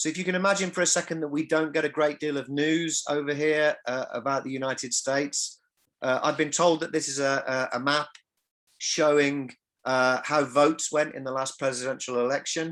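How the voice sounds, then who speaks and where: A man speaks at a fairly quick pace with an English accent. His pitch is fairly high, and his intonation stays fairly even against a quiet background. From England. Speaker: music industry academic. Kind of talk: lecture. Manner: halting, repeats words.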